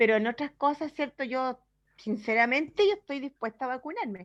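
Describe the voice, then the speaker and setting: At a fairly quick pace, a woman with a high pitch talks in a dry, close sound with no echo. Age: 60s. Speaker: church member asking a question. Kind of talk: Q&A question.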